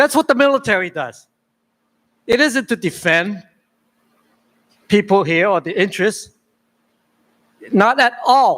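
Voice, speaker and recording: The voice moves at a moderate pace, recorded with a dry, close sound and no echo. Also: man. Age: 70s. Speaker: public commenter. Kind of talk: public testimony. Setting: public meeting hall. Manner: halting, repeats words.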